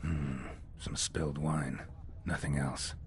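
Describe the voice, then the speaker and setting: Someone puts on a character voice at a fairly slow pace. Clear background noise is present. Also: man. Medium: game stream. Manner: dry, low-key.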